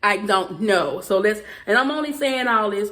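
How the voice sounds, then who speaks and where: The speaker has a strong Southern US accent. Background noise is noticeable. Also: woman. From US South. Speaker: YouTuber. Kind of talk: vlog rant. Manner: fast.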